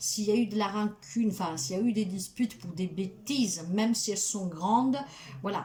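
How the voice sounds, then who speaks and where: A woman with a medium pitch and ordinary variation in it speaks at a moderate speed while noticeable background noise carries on behind her. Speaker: tarot card reader and spiritual healer. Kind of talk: tarot reading guidance monologue.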